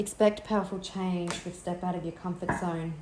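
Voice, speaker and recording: A woman's fairly low, dark and mellow voice comes through somewhat breathy, with audible room echo. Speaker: tarot reader. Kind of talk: tarot reading.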